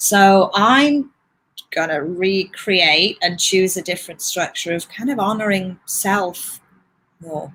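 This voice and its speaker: An English accent with a bright, sharp tone at a fairly slow pace. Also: woman. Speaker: astrologer and yoga teacher. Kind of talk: interview conversation.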